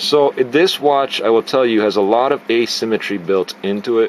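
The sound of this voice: Moderate pace and ordinary pitch variation over faint background noise. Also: man, medium pitch for a man.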